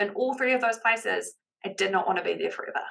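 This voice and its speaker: An animated woman's voice with a New Zealand accent. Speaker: business confidence coach. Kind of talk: podcast interview.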